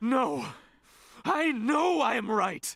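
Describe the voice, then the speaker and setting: A man puts on a character voice that is intense and extremely high, with very wide pitch swings. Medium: video game. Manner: intense, unstable.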